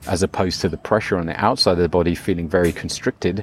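A man talks very fast in a very deep, low voice. The sound is dry and close, with no echo. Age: 50s. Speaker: retreat leader and coach. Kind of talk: interview.

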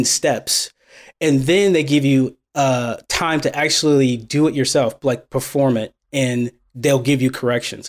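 At a fairly slow pace, a man with a normal speaking voice and fairly high pitch is heard in a very clean recording with a silent background. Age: 30s. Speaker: programmer and mentor, military veteran. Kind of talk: casual interview.

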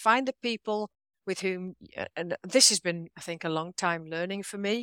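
A woman with an English accent and a bright, sharp tone at a moderate pace, on a very clean recording with a silent background. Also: dry, close sound with no echo. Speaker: author and leadership trainer. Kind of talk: interview conversation.

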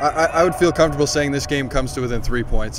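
Very fast speech over noticeable background noise. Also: man. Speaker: sports journalist. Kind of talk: casual interview.

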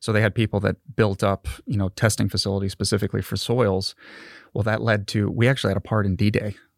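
A man with an American accent talks at a very fast pace with a fairly low pitch and monotone, flat intonation. The very clean recording has a silent background and a dry, close sound with no echo. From California. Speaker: research engineer. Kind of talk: interview conversation.

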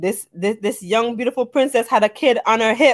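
Speaking with an American accent, a woman has a high pitch and a moderate pace. The recording is very clean, with a silent background. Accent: Jamaican-New York. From Jamaica, later the Bronx. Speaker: podcast co-host. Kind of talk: casual chat.

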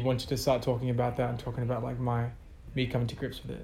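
Somewhat breathy and medium-pitched, a man speaks in a monotone, flat intonation, with audible room echo around him. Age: 20s. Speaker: musician. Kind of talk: interview. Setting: office.

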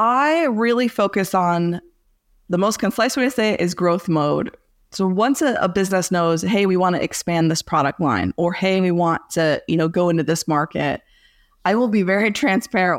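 In a very clean recording with a silent background, a woman with an American accent speaks at medium pitch and a moderate pace. She has a plain, everyday voice, lively intonation and very even loudness. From Southeast Michigan. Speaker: business consultant. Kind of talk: podcast interview.

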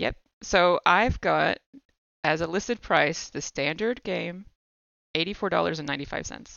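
With an American accent, a woman speaks at a fairly low pitch with vocal fry and long, frequent pauses. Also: ordinary pitch variation, moderate pace. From United States. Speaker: podcaster and game designer. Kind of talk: casual chat.

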